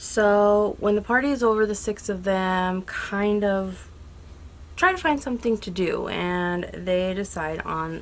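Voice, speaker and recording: Her voice is quiet and medium in pitch, with ordinary pitch variation. The woman speaks at a fairly slow pace. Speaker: YouTube movie reviewer. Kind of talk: casual vlog review.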